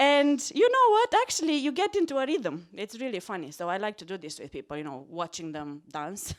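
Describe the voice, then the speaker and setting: A woman with a Romanian accent speaks in a fairly high pitch with very wide pitch swings and big swings in loudness. Noticeable background noise is present. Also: fairly quick pace, hardly any pauses. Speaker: psychology lecturer. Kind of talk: stand-up. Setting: stage with audience. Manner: animated.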